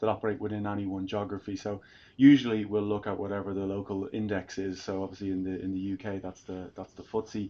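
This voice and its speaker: Against a quiet background, a man talks at a very fast pace with an Irish accent. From Ireland. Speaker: tech sales executive. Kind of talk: fireside chat interview. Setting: live event with audience. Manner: hesitant, many fillers and repetitions.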